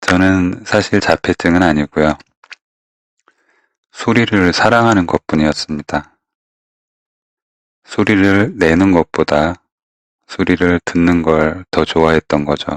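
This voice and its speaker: With a very deep, low pitch, a man speaks at a very slow pace with long, frequent pauses, ordinary pitch variation and very even loudness, in a dry, close sound with no echo. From Korea. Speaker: novelist. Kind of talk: personal essay reading.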